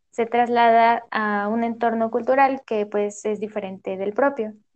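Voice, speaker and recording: A woman speaks with a fairly high pitch at a fairly slow pace. She has a plain, everyday voice. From Mexico, Hidalgo. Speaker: language teaching student. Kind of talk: student podcast, semi-scripted chat.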